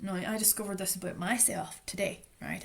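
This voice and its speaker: In a Northern Irish accent, a woman talks at a moderate pace and medium pitch. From Northern Ireland, Strabane. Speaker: trauma recovery educator. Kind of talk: lecture. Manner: loud.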